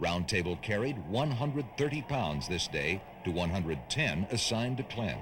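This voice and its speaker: Somewhat breathy, a man speaks at a fairly low pitch and a moderate pace. His pitch swings very widely. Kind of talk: documentary narration about racing history.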